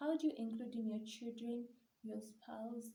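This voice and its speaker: A woman with a Ugandan accent, fairly high in pitch, amid audible room echo. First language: Luganda. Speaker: YouTuber on mental health. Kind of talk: vlog talk to camera.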